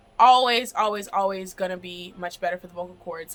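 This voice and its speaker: A woman's medium-pitched voice with ordinary pitch variation, music playing in the background. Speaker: vocal and acting coach. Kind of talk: tutorial. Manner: loud; animated.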